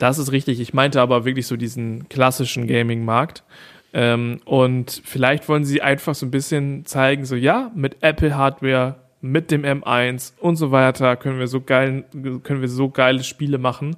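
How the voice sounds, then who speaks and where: A man's medium-pitched voice moves at a moderate pace, its intonation monotone and flat. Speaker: podcast co-host. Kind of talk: casual chat. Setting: parents' living room, mobile setup.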